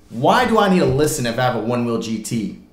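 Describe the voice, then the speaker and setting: The voice belongs to a man. There is audible room echo. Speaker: product reviewer. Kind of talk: tutorial. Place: home room.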